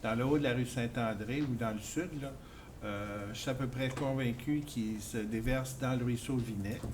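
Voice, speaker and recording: A man's speech comes through with noticeable background noise and audible room echo. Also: medium pitch for a man, fairly even intonation, fairly slow pace. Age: 60s. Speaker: resident speaking at town meeting. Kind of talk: public meeting comment. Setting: public information meeting. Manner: halting, repeats words.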